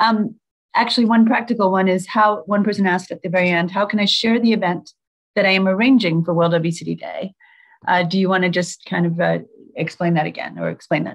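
The speech runs very fast with fairly even intonation. The background is quiet. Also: woman. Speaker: nonprofit chief executive moderating a webinar; webinar moderator. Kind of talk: webinar moderation. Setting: video call. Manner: frequent fillers, hesitant. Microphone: video call.

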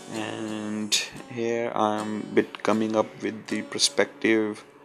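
Music plays in the background as a man with an Indian accent speaks. His pitch is fairly low and his pace very slow. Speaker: concept artist. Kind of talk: software tutorial narration. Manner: hesitant, many fillers.

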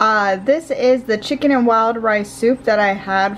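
A woman's voice with ordinary pitch variation and light background noise. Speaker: vlogger. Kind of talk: casual vlog chat. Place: kitchen. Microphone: phone near.

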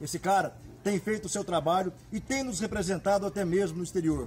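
Light background noise sits behind a man talking at a fairly quick pace in a high pitch with ordinary pitch variation. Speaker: rodeo announcer. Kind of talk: event announcer promo. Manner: energetic, enthusiastic. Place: street. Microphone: phone near.

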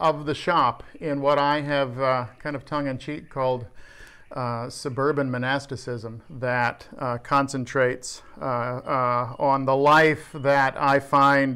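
Very slowly, a man speaks in a monotone, flat intonation with a bright, sharp tone. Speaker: workshop vlogger. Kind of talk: casual vlog chat. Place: workshop. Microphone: phone near.

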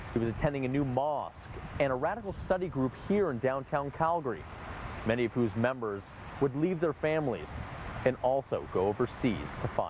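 A man of medium pitch talks fairly quickly with lively intonation. The sound is dry with no echo, and background noise is noticeable. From Canada. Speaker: news reporter. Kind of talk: voiced-over news feature narration. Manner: serious, somber. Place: street. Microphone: lapel.

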